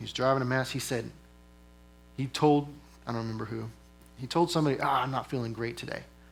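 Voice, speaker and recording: This man speaks at a medium pitch. His intonation stays fairly even. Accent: American. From East Texas. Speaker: military senior enlisted leader. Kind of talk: motivational talk. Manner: conversational, with filler words.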